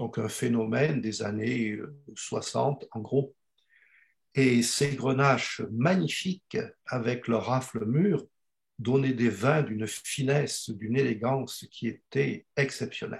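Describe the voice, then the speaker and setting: The voice is somewhat breathy, with ordinary pitch variation. The pace is very slow. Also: man, medium pitch for a man. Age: 70s. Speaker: retired geology professor. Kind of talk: panel interview.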